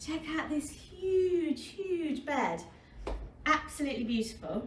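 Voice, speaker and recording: A woman's voice carries through light background noise with audible room echo. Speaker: travel vlogger. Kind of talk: casual vlog chat. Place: home room. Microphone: camera far.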